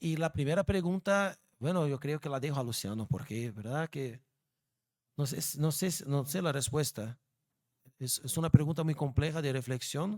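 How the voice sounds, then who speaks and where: Dry and close with no echo, a man with a Brazilian accent talks at a moderate pace in a fairly high pitch with ordinary pitch variation. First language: Portuguese (speaking Spanish). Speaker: law professor. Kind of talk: lecture Q&A. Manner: halting.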